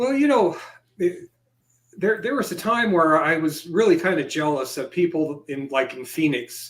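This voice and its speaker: With lively intonation, an ordinary speaking voice proceeds at a moderate pace. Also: man. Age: 60s. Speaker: ufologist. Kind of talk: interview.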